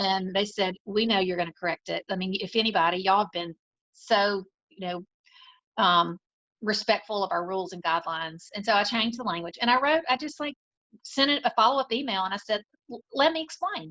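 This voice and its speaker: In a Southern US accent, a woman talks at a fairly quick pace with lively intonation, the sound dry and close with no echo. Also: medium pitch for a woman. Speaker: salon owner. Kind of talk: interview conversation. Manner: animated.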